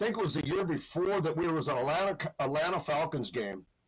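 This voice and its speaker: Lively intonation and vocal fry come through in an American accent. The pace is moderate. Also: man, very even loudness. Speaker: longtime superfan. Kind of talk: casual chat. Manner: loud.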